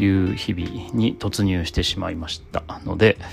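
Very deep, low male voice, its intonation fairly even. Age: 40s. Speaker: podcaster, father and office worker studying at university. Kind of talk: casual solo podcast monologue.

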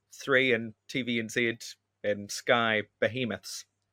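Speaking very slowly with a New Zealand accent, a man uses a bright, sharp tone in a very clean recording with a silent background. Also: dry, close sound with no echo. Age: 20s. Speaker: comedian. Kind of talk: casual chat.

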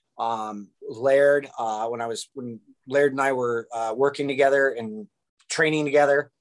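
Speaking with a Californian accent, a man keeps a medium pitch. He talks at a fairly slow pace with fairly even intonation. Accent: Californian American. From US West Coast, Orange County, California. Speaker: breathing and fitness coach. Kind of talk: casual interview chat. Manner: halting, many repetitions and fillers.

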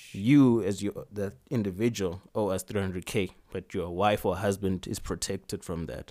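On a very clean recording with a silent background, a man with a fairly low pitch speaks at a moderate pace in an animated tone with ordinary pitch variation. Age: 20s. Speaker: podcast co-host. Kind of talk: casual chat. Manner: animated, laughing often.

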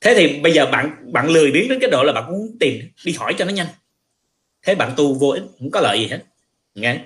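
Pitch swings very widely in this man's fairly high voice. He leaves long, frequent pauses. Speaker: spiritual teacher and livestream host. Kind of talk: casual talk, teaching. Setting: livestream.

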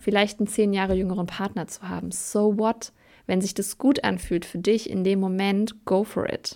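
The recording is very clean, with a silent background. A woman with a medium pitch and a dark, mellow tone speaks at a moderate pace in a monotone, flat intonation. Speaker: podcast host and coach. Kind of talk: solo podcast monologue; promotional pitch. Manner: casual, with many filler sounds.

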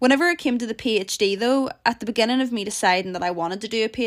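In a Northern Irish accent, a woman speaks with an animated tone and ordinary pitch variation. The recording is very clean, with a silent background. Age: 20s. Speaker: podcast host, PhD student. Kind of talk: casual solo podcast chat. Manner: animated, laughing often.

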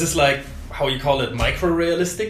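A man with a German accent and a high pitch speaks with lively intonation amid noticeable background noise and audible room echo. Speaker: tattoo studio host. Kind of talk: casual interview.

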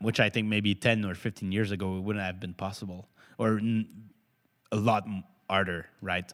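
In a very clean recording with a silent background, a man with a Quebec accent speaks at a fairly low pitch and moderate pace, with monotone, flat intonation and long, frequent pauses. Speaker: startup founder. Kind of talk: interview. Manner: halting.

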